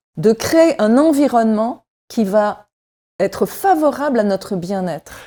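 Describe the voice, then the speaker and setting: Over a very clean recording with a silent background, a woman speaks at a very slow pace in a dark, mellow tone, her fairly high pitch moving in very wide swings. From France. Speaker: wellness columnist. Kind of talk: radio chat column.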